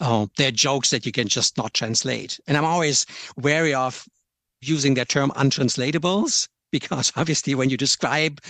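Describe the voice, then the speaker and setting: A German accent against a quiet background, with dry, close sound and no echo. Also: man. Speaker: software localisation product manager. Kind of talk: podcast interview. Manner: hesitant, with frequent repetitions.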